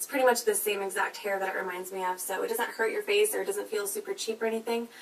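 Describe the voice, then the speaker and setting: Noticeable background noise is present. Over it, a woman speaks very fast. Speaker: beauty vlogger. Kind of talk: product review. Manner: animated.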